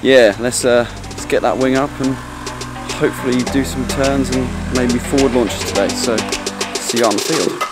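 A man at a moderate pace with long, frequent pauses, dry sound with no echo, over loud music in the background. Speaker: paramotor vlogger. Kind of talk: casual vlog chat. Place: garden. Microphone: phone near.

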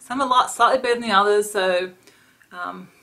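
Her intonation fairly even, a woman talks with an Australian accent. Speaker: beauty vlogger. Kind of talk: casual product review vlog. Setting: home, talking to camera. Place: home room. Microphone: webcam.

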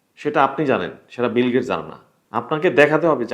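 A man speaks in a fairly high voice. Vocal fry runs through it. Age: young. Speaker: YouTuber and website founder. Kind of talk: talking-head commentary. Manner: halting, many pauses.

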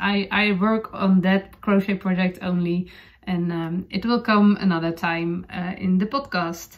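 A woman talks in a Dutch accent at a medium pitch. Her pace is fairly slow.

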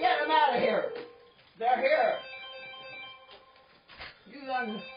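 The pace is very slow as a woman talks. Music sounds clearly behind her. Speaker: newspaper co-owner. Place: home room. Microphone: camera far.

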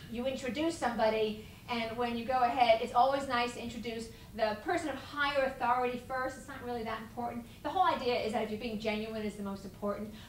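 Talking very fast at a high pitch, a woman keeps a fairly even intonation while her loudness swings widely, with audible room echo and light background noise. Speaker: etiquette consultant and lecturer. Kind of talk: seminar lecture. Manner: humorous, storytelling.

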